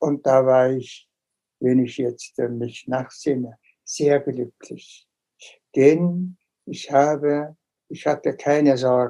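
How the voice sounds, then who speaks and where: Speaking at a very slow pace with long, frequent pauses, a man uses fairly even intonation, a fairly high pitch and a dark, mellow tone. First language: Tuvan or Mongolian (speaking German). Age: 70s. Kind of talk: interview.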